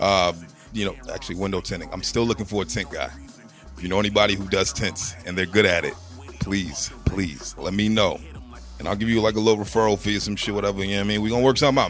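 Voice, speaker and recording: Music plays in the background as a man speaks at a very fast pace, his fairly low voice showing ordinary pitch variation. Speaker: podcast host. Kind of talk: casual podcast talk.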